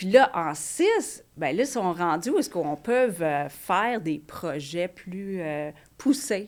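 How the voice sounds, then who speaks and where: On a very clean recording with a silent background, a woman speaks at a medium pitch in an English accent. Her pace is very slow, and her pitch swings very widely. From Quebec. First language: English (speaking French). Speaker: elementary English teacher. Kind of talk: casual chat.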